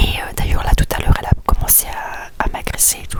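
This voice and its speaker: A woman whispers at a fairly quick pace over noticeable background noise. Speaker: vlogger. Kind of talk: personal vlog confession. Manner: quiet, speaking softly; hesitant, many fillers.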